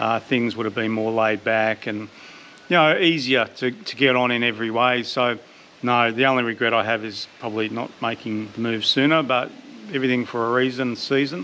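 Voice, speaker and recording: In an Australian accent, a man speaks fairly quickly at a medium pitch with fairly even intonation. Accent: thick Australian. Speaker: vlogger. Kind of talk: casual chat.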